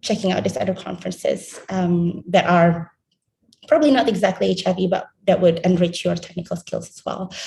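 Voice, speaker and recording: Speaking at a fairly quick pace, a woman with a medium pitch and a dark, mellow tone shows vocal fry, ordinary pitch variation and big swings in loudness. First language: not English. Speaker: health research trainee. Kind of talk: panel presentation. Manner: halting, many fillers.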